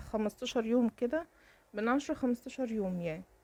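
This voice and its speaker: A woman speaks at a high pitch and a fairly quick pace in a dark, mellow tone. The sound is dry and close, with no echo. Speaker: lifestyle vlogger. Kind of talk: casual vlog chat.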